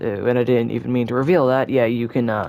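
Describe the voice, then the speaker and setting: There is noticeable background noise behind this man. He talks at a fairly quick pace with a medium pitch. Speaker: gaming youtuber. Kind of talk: gameplay tutorial commentary. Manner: halting; casual, self-deprecating.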